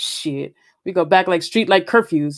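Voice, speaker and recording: This is a woman's voice. The recording is very clean, with a silent background. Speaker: poet and podcast host. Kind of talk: poetry reading; casual chat. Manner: fast.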